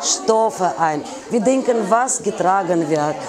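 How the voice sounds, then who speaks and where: A woman with a Russian accent, very slow pace and very wide pitch swings, plus noticeable background noise. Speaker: fashion designer. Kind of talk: interview. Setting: in her store. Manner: animated. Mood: warm, enthusiastic. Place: shop.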